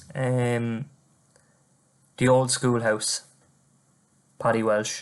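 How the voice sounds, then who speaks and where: Using an Irish accent, a man speaks at a very slow pace in a medium pitch with monotone, flat intonation. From Ireland, County Wexford. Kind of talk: poetry reading.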